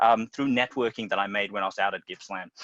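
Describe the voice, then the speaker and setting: A man's medium-pitched, bright, sharp voice with an Australian accent, very fast, with ordinary pitch variation and a dry, close sound without echo. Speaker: teacher and school dean of students. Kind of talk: panel presentation.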